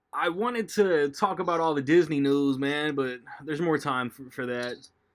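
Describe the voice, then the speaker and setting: In a normal speaking voice, a man talks at a fairly quick pace, his pitch fairly high with ordinary pitch variation. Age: 30s. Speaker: podcast host. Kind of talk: casual chat.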